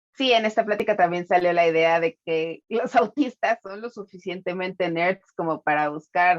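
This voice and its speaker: An unremarkable speaking voice talks at a moderate pace in a dry, close sound with no echo. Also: woman. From Mexico, Tapachula (Chiapas). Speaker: podcast co-host. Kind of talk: casual chat.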